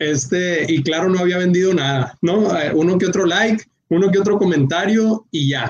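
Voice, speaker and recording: Ordinary pitch variation in a man's high voice at a moderate pace. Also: very even loudness. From Mexico, Culiacán, Sinaloa. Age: 30s. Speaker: entrepreneur, online shop owner. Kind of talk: casual interview on a live stream.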